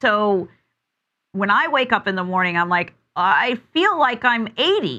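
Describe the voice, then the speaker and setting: Her voice raised and projected, a woman speaks in a bright, sharp tone with very wide pitch swings. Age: 50s. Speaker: talk show host. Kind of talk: interview.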